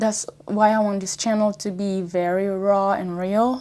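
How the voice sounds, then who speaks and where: In a French accent, a woman speaks at a fairly slow pace with a dark, mellow tone. The recording is very clean, with a silent background. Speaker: YouTuber. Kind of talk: casual vlog talk. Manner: conversational, some hesitation.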